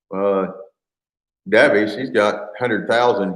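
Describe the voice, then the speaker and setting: The speaker talks at a fairly slow pace with a Midwestern US accent. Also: man. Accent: US Midwest. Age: 50s. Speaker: farmer and video creator. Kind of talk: casual live stream chat.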